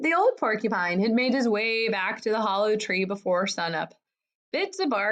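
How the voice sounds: With lively intonation, a natural reading voice is heard over a quiet background.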